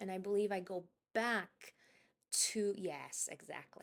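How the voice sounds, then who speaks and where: A woman mumbles as she speaks. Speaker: gaming youtuber. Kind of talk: voiceover commentary. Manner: halting, self-described stutter and mumble; hesitant.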